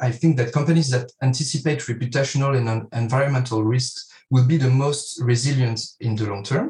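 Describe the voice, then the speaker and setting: Somewhat breathy and with fairly even intonation, a man talks at a fairly quick pace with hardly any pauses. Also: medium pitch for a man. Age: 30s. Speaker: financial advisor. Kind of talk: interview.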